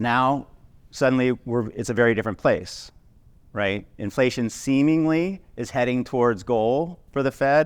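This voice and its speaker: On a very clean recording with a silent background, a man speaks at a fairly slow pace. His pitch is medium, with ordinary variation. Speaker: wealth management CEO. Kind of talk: welcome speech at event. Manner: casual, halting with fillers.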